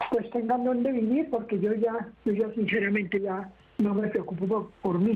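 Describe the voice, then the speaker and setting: A woman speaks at a fairly high pitch with fairly even intonation, and audible room echo surrounds her voice. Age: 70s. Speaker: caller. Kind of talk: phone-in question. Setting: phone call. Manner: halting, repeating words.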